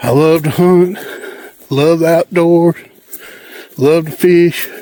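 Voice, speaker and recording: Delivered at a very slow pace in a strong Southern US accent, the speech has monotone, flat intonation and very even loudness. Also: man, high pitch for a man. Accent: strong Southern country. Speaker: hunting and outdoors vlogger. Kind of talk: casual vlog narration. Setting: outdoors, walking food plots. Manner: casual, folksy.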